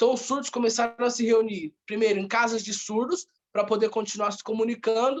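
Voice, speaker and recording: Fairly quick in pace, a man speaks at a high pitch with fairly even intonation. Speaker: researcher presenting an article. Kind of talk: research presentation. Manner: fast.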